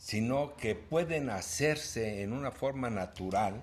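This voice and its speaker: A man's medium-pitched, somewhat breathy voice at a very slow pace with very wide pitch swings. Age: 70s. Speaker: broadcaster. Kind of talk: interview.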